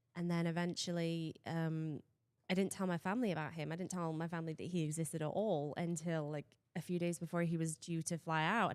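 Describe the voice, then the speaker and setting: A woman with a fairly low pitch speaks with an English accent. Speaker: guest. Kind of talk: interview. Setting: studio.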